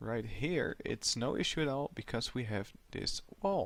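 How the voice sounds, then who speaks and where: This man's voice carries vocal fry. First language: not English. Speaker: gaming YouTuber. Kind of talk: gameplay commentary. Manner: mumbling, soft when thinking; halting, repetitive.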